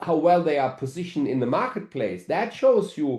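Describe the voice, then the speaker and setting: This man's voice has a dark, mellow tone. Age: 60s. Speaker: network marketing executive. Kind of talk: webinar presentation.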